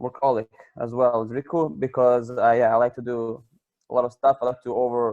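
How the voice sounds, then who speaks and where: A man with a Croatian accent speaks at medium pitch and a moderate pace. His intonation is monotone and flat, in a dry, close sound with no echo. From Croatia, Pula. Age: 20s. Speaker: project participant. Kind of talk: self-introduction.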